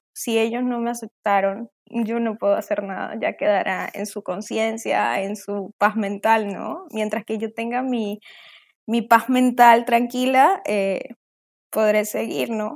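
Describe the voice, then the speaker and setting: A woman talks very slowly, her fairly high voice keeping a fairly even intonation. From Colombia, later Venezuela. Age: 20s. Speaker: interview guest sharing life story. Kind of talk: testimony.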